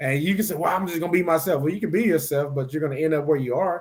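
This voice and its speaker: Speaking at a very fast pace, a man with an American accent uses a fairly high pitch and ordinary pitch variation. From Mississippi, US South. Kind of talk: casual discussion. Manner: fast at times; stumbles over words.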